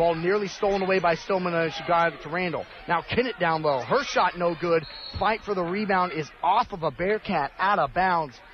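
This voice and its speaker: With music in the background, a man speaks at a moderate pace. His pitch is high, with ordinary variation. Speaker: play-by-play announcer. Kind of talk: live sports commentary, play-by-play of a basketball game. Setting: arena courtside broadcast, college radio. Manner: fluent, broadcast-polished delivery.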